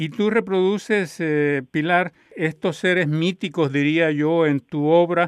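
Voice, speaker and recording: A high-pitched man at a very slow pace, his pitch variation ordinary. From Colombia. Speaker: radio host. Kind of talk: interview.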